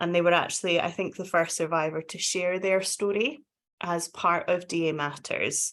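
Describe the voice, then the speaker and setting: With a Scottish accent, a woman with a fairly low voice talks at a moderate pace and with fairly even intonation against a quiet background. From Scotland. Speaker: domestic abuse charity practitioner. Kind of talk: webinar panel discussion.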